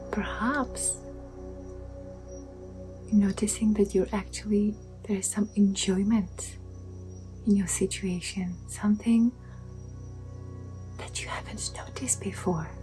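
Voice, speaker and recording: A woman speaks at a fairly slow pace, with long, frequent pauses. Music plays in the background. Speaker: meditation guide. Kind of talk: guided meditation. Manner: soft-spoken.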